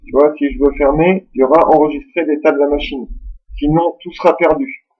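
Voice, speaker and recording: A man speaks at a moderate pace in a fairly high voice with ordinary pitch variation. He has a normal speaking voice. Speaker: tech tutorial youtuber. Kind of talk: screen-recorded software tutorial. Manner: casual, informal.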